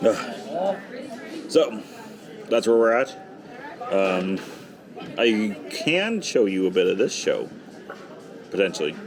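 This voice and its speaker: A man speaks at a very slow pace, with long, frequent pauses and very even loudness. Crowd noise and audible room echo fill the background. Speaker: travel vlogger. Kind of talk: casual vlog chat. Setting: cruise ship theater and bar.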